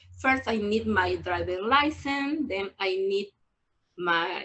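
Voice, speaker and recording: Speaking very slowly in a Peruvian accent, a woman keeps a medium pitch with ordinary pitch variation. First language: Spanish. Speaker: adult English student. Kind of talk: personal testimony. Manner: halting, hesitant.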